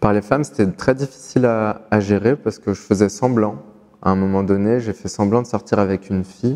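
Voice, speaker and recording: Over music in the background, a man speaks at a moderate pace with a fairly low pitch and fairly even intonation. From France, Moroccan heritage. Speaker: interviewee sharing life story. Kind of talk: personal testimony to camera. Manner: halting, many repetitions.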